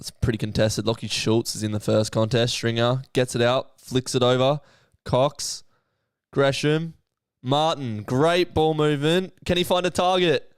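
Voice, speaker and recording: A man speaks in an Australian accent with an animated tone, medium pitch and ordinary pitch variation. His moderate pace comes through a very clean recording with a silent background. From Western Australia, Perth. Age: 20s. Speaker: streamer and sports commentator. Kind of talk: live commentary. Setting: live stream watchalong.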